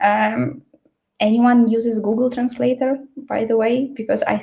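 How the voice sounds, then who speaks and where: A non-native accent marks this woman's speech. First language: Ukrainian. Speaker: L&D trainer. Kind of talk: online workshop presentation. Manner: many fillers and hesitations.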